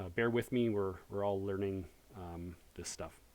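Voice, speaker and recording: This man has a fairly low pitch and a dark, mellow tone. His pitch varies in an ordinary way. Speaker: high school math teacher. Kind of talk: online lecture. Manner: fast; hesitant, many fillers.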